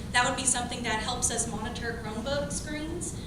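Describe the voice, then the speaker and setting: A woman talks at a fairly quick pace in a fairly high pitch. Room echo and background noise are both noticeable. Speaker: elementary school teacher. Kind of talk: public comment at a meeting. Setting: school board meeting, microphone. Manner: soft-spoken.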